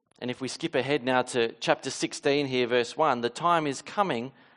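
The speaker has an Australian accent and ordinary pitch variation. The pace is moderate. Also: man. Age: 30s. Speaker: pastor. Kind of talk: sermon. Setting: church.

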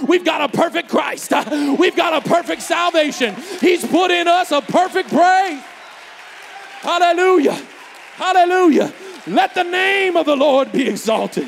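Over crowd noise in the background, a man speaks in an animated tone at an extremely high pitch and a moderate pace, with long, frequent pauses. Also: ordinary pitch variation. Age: 40s. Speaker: preacher. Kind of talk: sermon. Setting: church.

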